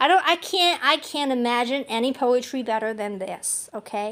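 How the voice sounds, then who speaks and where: A woman projects a raised voice at a high pitch with a bright, sharp tone. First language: not English. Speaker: amateur poet and channel host. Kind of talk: poetry reading and commentary. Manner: animated; halting.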